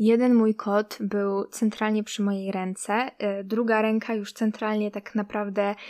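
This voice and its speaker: Fairly high-pitched woman's voice, fairly slow with hardly any pauses, in a monotone, flat intonation, on a very clean recording with a silent background. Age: 20s. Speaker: podcast host. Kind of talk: casual chat.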